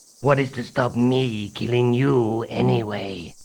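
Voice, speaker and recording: In a put-on character voice, a man speaks fairly slowly at a medium pitch with ordinary pitch variation. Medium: video game. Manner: formal, calm, courteous.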